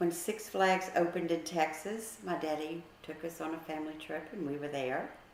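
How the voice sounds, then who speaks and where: With audible room echo and noticeable background noise, a woman with an American accent talks at a moderate pace in a fairly low pitch, with ordinary pitch variation and hardly any pauses. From US South, New Orleans (Metairie). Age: 60s. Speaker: grandmother interviewed about her childhood. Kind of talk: casual family interview, reminiscing. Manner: conversational, with hesitations.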